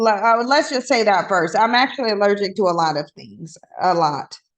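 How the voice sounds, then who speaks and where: A woman speaks in an animated tone at a fairly quick pace. Her pitch swings very widely. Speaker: livestreamer. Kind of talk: casual livestream chat. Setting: livestream on camera. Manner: chatty, animated.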